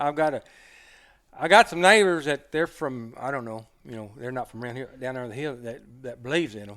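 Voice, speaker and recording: At a fairly quick pace, a man with a normal speaking voice and medium pitch talks with ordinary pitch variation and big swings in loudness. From Oklahoma mountains. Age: 60s. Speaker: hunter and dog man. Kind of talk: casual interview storytelling.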